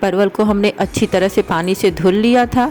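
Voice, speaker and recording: Noticeable background noise surrounds a woman speaking with ordinary pitch variation. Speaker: cooking channel host. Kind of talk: cooking tutorial.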